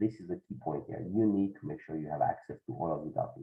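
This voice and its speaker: Talking at a very fast pace, a man uses a fairly low pitch. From France. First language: French. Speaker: accountant. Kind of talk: webinar presentation. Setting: video call webinar. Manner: halting, many fillers.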